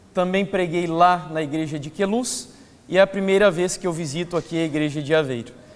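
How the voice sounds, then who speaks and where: There is audible room echo and noticeable background noise as a man with a high pitch talks at a fairly quick pace. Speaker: preacher. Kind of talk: sermon. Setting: church.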